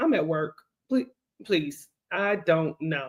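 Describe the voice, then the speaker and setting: Her pitch swings very widely. The speaker is a woman with an American accent. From US South, Gastonia, North Carolina. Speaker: travel podcast co-host. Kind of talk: casual podcast conversation.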